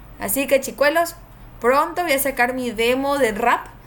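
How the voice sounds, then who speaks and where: A high-pitched woman's voice, animated in tone, with ordinary pitch variation at a moderate pace. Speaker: game streamer and tournament caster. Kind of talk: live stream commentary.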